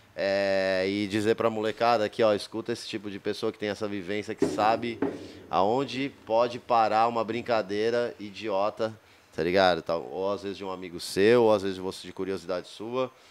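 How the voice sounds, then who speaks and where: A man's fairly low voice at a moderate pace, with fairly even intonation and light background noise. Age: 40s. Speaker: podcast host, skateboarder; podcast host. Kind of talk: casual interview. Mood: warm, admiring. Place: studio. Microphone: studio mic.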